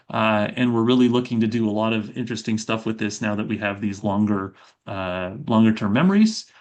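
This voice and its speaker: This man's fairly low voice runs at a fairly quick pace with fairly even intonation. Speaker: robotics professor. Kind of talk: research talk. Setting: video call. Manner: fast; many filler words.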